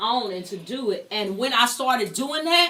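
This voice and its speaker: A loud woman's voice, high in pitch, with lively intonation and a moderate pace. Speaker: talk show host. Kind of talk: interview.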